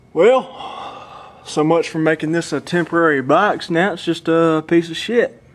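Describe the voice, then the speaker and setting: Over noticeable background noise, a man with a high pitch speaks at a fairly slow pace. He hardly pauses, and his pitch varies in an ordinary way. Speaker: car audio hobbyist vlogger. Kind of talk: casual video blog. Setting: late night at home, filming on camera.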